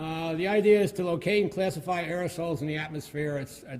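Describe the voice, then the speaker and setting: The man's pitch is fairly high, with ordinary pitch variation. He talks at a fairly quick pace. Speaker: mathematics researcher. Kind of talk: lecture. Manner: halting, many fillers.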